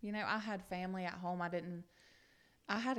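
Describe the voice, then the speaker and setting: A woman with a Southern US accent, fairly low pitch and fairly even intonation. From US South, upstate South Carolina. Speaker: guest sharing recovery story. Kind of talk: testimony.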